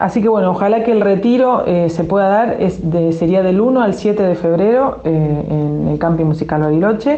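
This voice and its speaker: Keeping her loudness very even, a woman at a medium pitch speaks with hardly any pauses. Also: lively intonation, moderate pace. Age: 50s. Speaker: musician and filmmaker. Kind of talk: interview.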